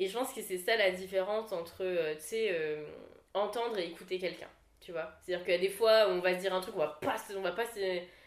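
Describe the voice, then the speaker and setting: With lively intonation and a fairly quick pace, a woman talks at a medium pitch in an ordinary speaking voice. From Réunion (La Saline). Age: 20s. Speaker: content creator. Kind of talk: casual chat.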